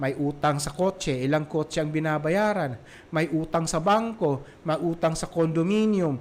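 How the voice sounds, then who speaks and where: This is a normal speaking voice with lively intonation. It moves at a moderate pace. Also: man. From Visayas, Philippines. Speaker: parenting podcast host. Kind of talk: solo podcast talk. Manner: casual, with many fillers.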